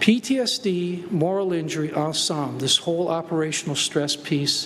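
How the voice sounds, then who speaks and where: Amid noticeable background noise, a man with a high pitch speaks at a moderate pace with ordinary pitch variation. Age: 60s. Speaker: conference speaker, veteran with moral injury. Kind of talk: conference talk, personal testimony.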